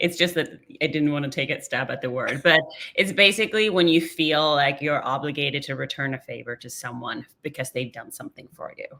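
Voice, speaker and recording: A woman talks at a fairly quick pace. Her pitch is very deep and low. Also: ordinary pitch variation. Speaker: marketing podcast co-host. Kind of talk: casual chat. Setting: call.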